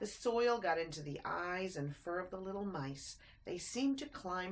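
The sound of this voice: Lively intonation in an unforced reading voice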